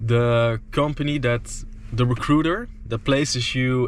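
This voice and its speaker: In a Dutch accent, a man talks at a medium pitch with fairly even intonation. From Netherlands. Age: 20s. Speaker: entrepreneur vlogger. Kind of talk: casual vlog monologue. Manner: slow, hesitant with fillers.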